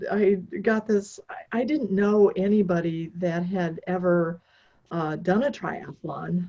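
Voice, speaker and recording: Her voice has a somewhat breathy quality. This woman speaks very slowly. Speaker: endurance athlete. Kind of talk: interview storytelling.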